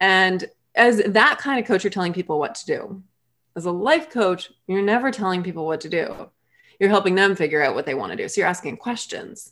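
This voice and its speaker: An ordinary speaking voice, lively intonation and a fairly quick pace on a very clean recording with a silent background. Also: woman, medium pitch for a woman. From Massachusetts. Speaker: human design reader and life coach. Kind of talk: interview conversation.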